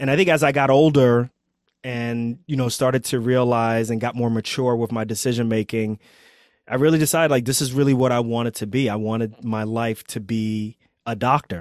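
A man with an American accent and an ordinary speaking voice, at a fairly quick pace with fairly even intonation, in a very clean recording with a silent background. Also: medium pitch for a man. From New York City (Queens). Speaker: trauma surgeon and physician coach. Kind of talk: casual interview.

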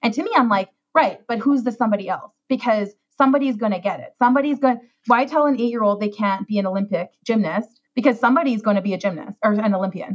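Talking very fast in a fairly high, somewhat breathy voice, a woman speaks with a Canadian accent. Her tone is animated, with ordinary pitch variation. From Saskatchewan, rural Canada. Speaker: wedding planner. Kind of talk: casual chat.

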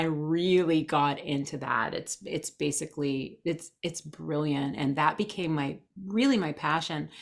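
Speaking at a fairly slow pace, a woman uses a normal speaking voice with ordinary pitch variation. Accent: American. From New Jersey, US. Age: 40s. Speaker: human design expert. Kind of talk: casual interview. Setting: video call.

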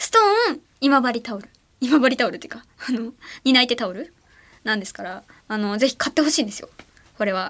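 A woman with a high pitch and ordinary pitch variation in an animated tone, very fast pace broken by long, frequent pauses, with big swings in loudness. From Ehime, Japan. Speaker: late-night radio host. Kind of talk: casual radio chat. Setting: radio studio. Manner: animated, laughs often.

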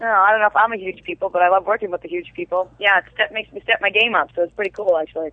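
A woman with a Brooklyn accent talks at a very fast pace with hardly any pauses. Her pitch is medium, with ordinary variation. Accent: Brooklyn New York. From New York. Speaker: TV actress. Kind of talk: casual interview chat.

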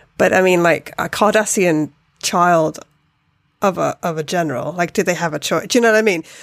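Heard on a very clean recording with a silent background, the speaker has a British accent and talks at a fairly quick pace with ordinary pitch variation. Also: woman, fairly low pitch for a woman. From Britain. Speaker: podcast co-host. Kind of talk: casual chat.

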